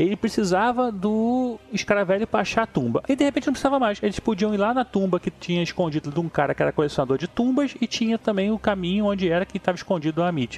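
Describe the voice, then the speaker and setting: Talking at a very fast pace with hardly any pauses, a man with a high pitch keeps very even loudness and lively intonation, recorded dry and close with no echo. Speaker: film critic and musician. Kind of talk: casual chat.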